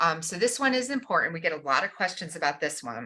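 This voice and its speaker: This is a woman's voice. Her tone is bright and sharp. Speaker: school district staff presenter. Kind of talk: informational presentation.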